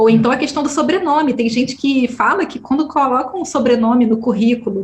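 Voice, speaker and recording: A woman's high voice at a very fast pace, with ordinary pitch variation and noticeable background noise. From Brazil, Rio de Janeiro suburbs. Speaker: podcaster and researcher. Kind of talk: interview conversation.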